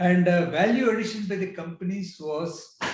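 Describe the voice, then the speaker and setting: A man speaks in a high voice at a fairly slow pace, with audible echo from the room. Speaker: business executive. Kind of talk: talk. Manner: halting.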